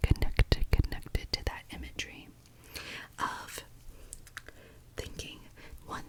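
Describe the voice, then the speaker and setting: Someone is whispering at a moderate pace. There is noticeable background noise. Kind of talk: ASMR whisper ramble. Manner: whispered, soft-spoken.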